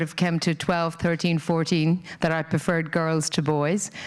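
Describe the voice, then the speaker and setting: In an Irish accent, a woman speaks in a fairly low voice with monotone, flat intonation. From rural Ireland. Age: 50s. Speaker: corporate diversity and inclusion head. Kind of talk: conference talk.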